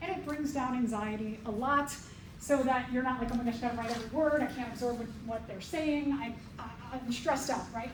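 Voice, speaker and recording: A woman's high voice at a fairly quick pace, with audible room echo. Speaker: college biology professor. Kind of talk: lecture. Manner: energetic.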